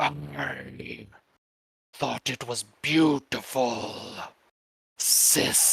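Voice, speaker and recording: In a put-on character voice, the speaker sounds sinister and raspy at a low-to-middle pitch, moving very slowly with very wide pitch swings and long, frequent pauses. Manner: demonic, sinister.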